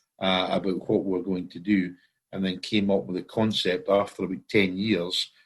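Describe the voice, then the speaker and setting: Against a quiet background, a man with a Scottish accent speaks at a moderate pace, his very deep, low voice monotone and flat in intonation. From Scotland. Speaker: common law court founder. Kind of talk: interview. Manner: hesitant, many fillers.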